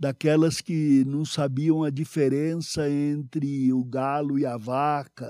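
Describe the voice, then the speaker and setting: Speaking very slowly, a man with a fairly high pitch, ordinary pitch variation and a dark, mellow tone comes through on a very clean recording with a silent background. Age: old. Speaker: pastor. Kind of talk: sermon.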